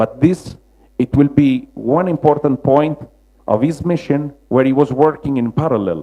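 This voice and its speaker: Speaking with a Roman accent, a man keeps a moderate pace. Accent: Roman Italian. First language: Italian. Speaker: mosaic restorer. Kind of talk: lecture. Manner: halting, many fillers.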